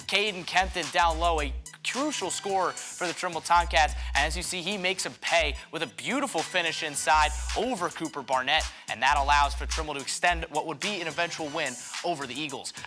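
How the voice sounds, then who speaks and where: Over music in the background, a man speaks at a fairly quick pace in an energetic, upbeat tone. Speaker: sports broadcaster, on-air journalist. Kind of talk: local sports news anchor segment.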